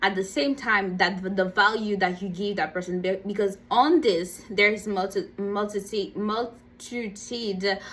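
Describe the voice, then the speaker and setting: This woman speaks at a fairly slow pace. Her pitch is medium and her intonation fairly even. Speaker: motivational vlogger. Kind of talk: motivational talk. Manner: halting, many fillers and repeats.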